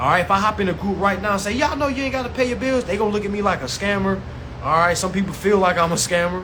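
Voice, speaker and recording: In a raised, projected voice, a man talks at a very fast pace and a high pitch, with audible room echo and noticeable background noise. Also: ordinary pitch variation. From US South. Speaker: consumer rights educator. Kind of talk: live-stream class. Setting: live stream. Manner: animated.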